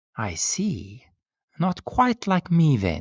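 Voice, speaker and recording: Putting on a character voice, a man sounds hoarse and hissing, his fairly high pitch moving in very wide swings. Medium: read story. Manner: slow, formal, melancholy.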